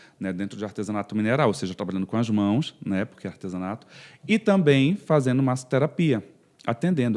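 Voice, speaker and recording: A man at a very fast pace, dark and mellow in tone with very wide pitch swings, on a very clean recording with a silent background. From northern Brazil, Pará (Castanhal/Belém). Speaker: physiotherapist. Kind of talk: podcast interview.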